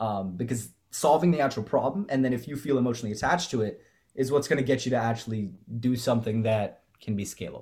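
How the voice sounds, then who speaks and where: Very fast and somewhat breathy, a man talks with an American accent. He stays at medium pitch with ordinary pitch variation. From California, Bay Area. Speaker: medical student and nonprofit founder. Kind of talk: interview conversation.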